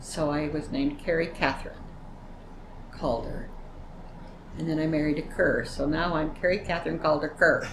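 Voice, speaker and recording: A woman with an American accent speaks in a very deep, low pitch with monotone, flat intonation and long, frequent pauses. Noticeable background noise and audible room echo are present. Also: moderate pace. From US West, Utah (Vernal). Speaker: elderly woman telling her life story. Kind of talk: oral history interview. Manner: conversational, with hesitations.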